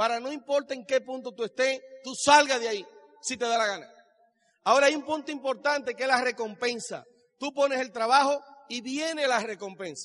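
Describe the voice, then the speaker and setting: Talking at a fairly quick clip, this man has an extremely high pitch, an animated tone, and big swings in loudness. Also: ordinary pitch variation. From Dominican Republic. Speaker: business speaker. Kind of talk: motivational speech. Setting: stage with audience.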